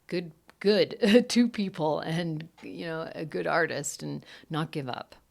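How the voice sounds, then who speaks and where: Lively intonation and big swings in loudness mark this woman's fairly low-pitched voice, which has vocal fry, on a very clean recording with a silent background. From Romania. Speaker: actor and publicist. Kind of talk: casual chat.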